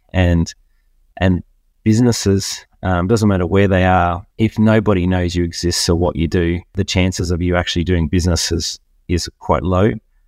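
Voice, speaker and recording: A man with an Australian accent speaks at a moderate pace in a very deep, low voice, his loudness very even and his intonation fairly even. The recording is very clean with a silent background, and the sound is dry and close with no echo. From Australia, Queensland. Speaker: business networking event organizer. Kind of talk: interview. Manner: halting, many fillers and repeats.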